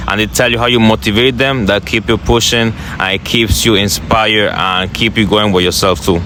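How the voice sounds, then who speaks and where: A man with a fairly low pitch talks at a fairly quick pace over noticeable background noise. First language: not English. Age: young. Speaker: motivational content creator. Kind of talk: interview.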